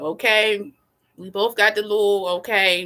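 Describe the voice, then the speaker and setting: In a Baltimore accent, a woman speaks with an animated tone that is bright and sharp. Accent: Baltimore accent, noticeable. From Baltimore, US. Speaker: astrology YouTuber. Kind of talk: casual livestream chat. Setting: livestream from laptop.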